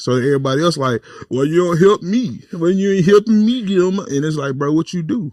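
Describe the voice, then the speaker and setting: A loud man talks at a fairly quick pace with very wide pitch swings. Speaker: podcast co-host and comedian. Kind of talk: casual chat.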